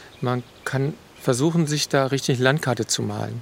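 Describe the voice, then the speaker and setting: A man talks at a medium pitch. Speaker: forest educator. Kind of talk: interview. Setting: outdoors in a forest.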